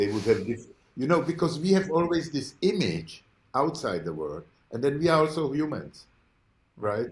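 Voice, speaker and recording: Speaking at a moderate pace, a man with a fairly high voice and vocal fry swings his pitch very widely and leaves long, frequent pauses. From Czech Republic (Prague). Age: 70s. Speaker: artist and professor. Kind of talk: interview. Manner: halting, many fillers and restarts.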